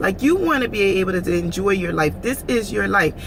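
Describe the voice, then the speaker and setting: Noticeable background noise sits under a woman's animated voice, medium in pitch, with lively intonation and a moderate pace. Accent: American. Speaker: vlogger. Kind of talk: casual vlog monologue.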